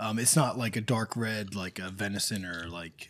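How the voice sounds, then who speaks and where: With ordinary pitch movement, the words come at a fairly slow speed. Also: man. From northern US. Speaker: outdoors podcast host. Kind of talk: casual chat. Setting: at home.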